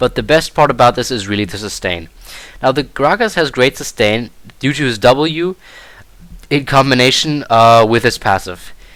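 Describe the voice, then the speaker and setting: This man has a German accent and a medium pitch. He keeps a moderate pace. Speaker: gaming video creator. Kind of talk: gameplay commentary tutorial. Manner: casual with frequent fillers.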